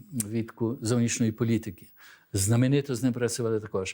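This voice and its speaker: A man speaks in a flat monotone with a dark, mellow tone. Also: very clean recording, silent background. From Belgium, born abroad to Ukrainian diaspora. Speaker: diaspora organization leader, former embassy staffer. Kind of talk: studio interview. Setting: TV studio.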